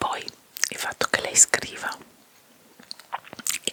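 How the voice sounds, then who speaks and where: Noticeable noise surrounds a woman as she whispers. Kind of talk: ASMR whispering chat about a TV series. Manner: whispered, soft, relaxing.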